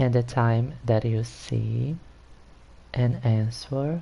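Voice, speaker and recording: A man with a Brazilian Portuguese accent speaks at a very slow pace. His voice is dark, mellow and somewhat breathy, with fairly even intonation. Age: 30s. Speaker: gaming streamer. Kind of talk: live stream gameplay chat.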